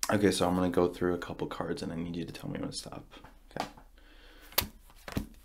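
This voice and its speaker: Soft-spoken and very fast, a man with a very deep, low pitch and lively intonation talks over noticeable background noise. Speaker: card magician roleplay host. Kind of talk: ASMR card magic roleplay. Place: home room.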